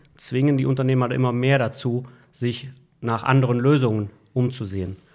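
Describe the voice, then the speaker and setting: A man with an ordinary speaking voice at a medium pitch, ordinary pitch variation and a moderate pace, on a very clean recording with a silent background. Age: 60s. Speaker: IT services manager. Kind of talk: interview. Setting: office.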